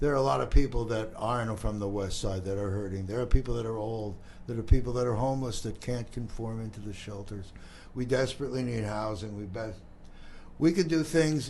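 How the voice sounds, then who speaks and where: A man talks at a medium pitch and a fairly quick pace, with ordinary pitch variation. His loudness swings widely, and the room echo is audible. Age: 70s. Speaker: community talk show host. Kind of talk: casual interview chat.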